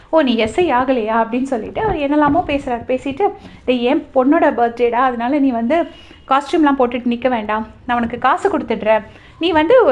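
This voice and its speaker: Lively intonation from a woman pitched high, with noticeable background noise. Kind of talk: web series episode review recap. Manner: casual, conversational.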